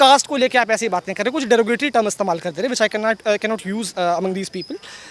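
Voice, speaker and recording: Clear background noise is heard while a man talks. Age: 20s. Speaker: voter interviewed outside polling center. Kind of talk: street interview. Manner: halting.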